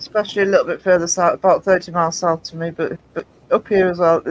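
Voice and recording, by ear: With a northeast English accent, a woman talks at a very fast pace in a medium pitch and a monotone, flat intonation, the sound dry and close with no echo. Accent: northeast English regional.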